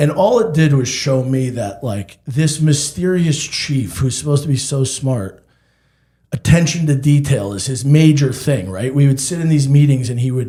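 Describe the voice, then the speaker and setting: Dark and mellow in tone, this speech goes at a moderate pace and shows ordinary pitch variation. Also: man, fairly high pitch for a man. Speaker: physician. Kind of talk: casual chat. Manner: loud; animated.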